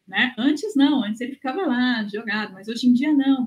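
A woman's voice comes through somewhat breathy, with ordinary pitch variation. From Brazil. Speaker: gerontologist and researcher. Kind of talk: interview. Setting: remote recording from home.

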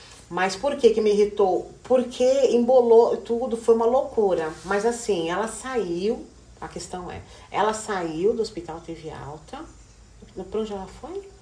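Speaking fairly slowly, a woman uses a fairly high pitch, lively intonation and big swings in loudness. Audible room echo and noticeable background noise surround her. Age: 40s. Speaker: hairdresser and educational counselor. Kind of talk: casual chat.

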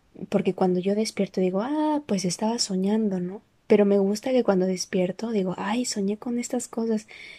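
Soft-spoken woman at a medium pitch, dark and mellow in tone, moderate in pace with hardly any pauses and ordinary pitch variation, on a very clean recording with a silent background. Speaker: personal audio diarist. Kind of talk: personal monologue.

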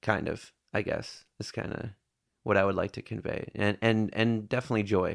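In an American accent, a man speaks at a moderate pace with a fairly low pitch and fairly even intonation, an unremarkable speaking voice. The recording is very clean and the background silent. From northern Michigan, US. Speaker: barista and musician. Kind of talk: casual chat. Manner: laid-back, laughs often.

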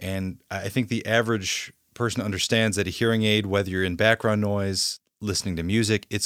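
On a very clean recording with a silent background, a man with a plain, everyday voice and fairly low pitch speaks at a fairly quick pace with fairly even intonation. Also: dry, close sound with no echo. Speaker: podcast host.

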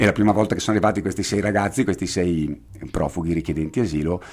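A man's very deep, low voice at a very fast pace, with lively intonation and vocal fry. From Bergamo, northern Italy. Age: 50s. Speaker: veterinarian and association president. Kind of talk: interview.

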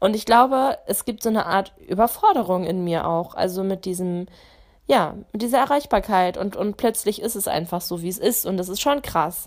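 Moderate pace and ordinary pitch variation. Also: woman, medium pitch for a woman. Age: 20s. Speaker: podcast host. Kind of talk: casual monologue.

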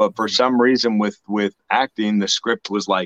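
A man talks at a fairly quick pace in an ordinary speaking voice. His pitch is fairly low and his intonation fairly even. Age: 30s. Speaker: actor. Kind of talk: interview.

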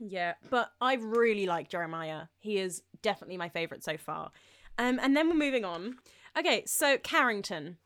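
In a very clean recording with a silent background, a woman with a British accent speaks with very wide pitch swings. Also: medium pitch for a woman, moderate pace. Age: 20s. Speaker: podcast co-host. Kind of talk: casual chat.

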